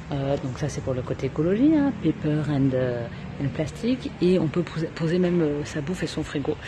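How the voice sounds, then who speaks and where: Noticeable background noise sits behind a woman with a very deep, low voice. She talks at a moderate pace with ordinary pitch variation. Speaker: travel vlogger. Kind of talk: casual vlog tour. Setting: coworking space in Bali.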